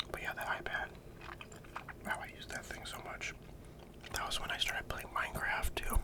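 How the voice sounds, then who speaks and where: A moderately paced whisper full of long, frequent pauses, noticeable background noise behind it. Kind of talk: casual ASMR ramble to camera while eating. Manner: whispered, casual.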